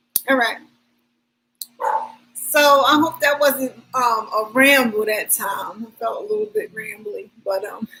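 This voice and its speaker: In a raised, projected voice, a woman with a high pitch and a bright, sharp tone speaks at a fairly slow pace, her pitch swinging very widely between long, frequent pauses. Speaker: spiritual self-help vlogger. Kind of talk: casual vlog monologue.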